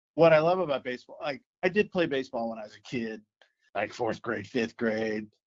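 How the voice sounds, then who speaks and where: A man with an American accent, an ordinary speaking voice, medium pitch, lively intonation and fairly quick pace. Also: big swings in loudness. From US Midwest, St. Louis. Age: 60s. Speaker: youth baseball commissioner. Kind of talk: casual interview.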